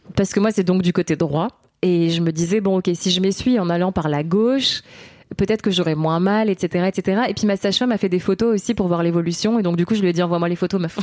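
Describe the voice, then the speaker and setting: This woman has a normal speaking voice at a medium pitch, talking at a fairly quick pace with fairly even intonation and very even loudness. The sound is dry and close with no echo. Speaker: mother and stage performer. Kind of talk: casual interview.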